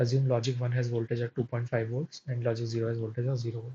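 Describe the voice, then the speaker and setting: A man with a medium pitch speaks in a somewhat breathy voice. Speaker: teaching assistant running a course live session. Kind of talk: live tutorial session solving problems. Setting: live online session.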